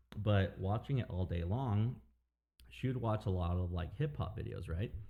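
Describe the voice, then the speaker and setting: A man speaks with a very deep, low pitch at a moderate pace. His voice is somewhat breathy. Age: 30s. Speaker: DJ and record collector. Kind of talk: casual chat. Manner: casual, halting with fillers.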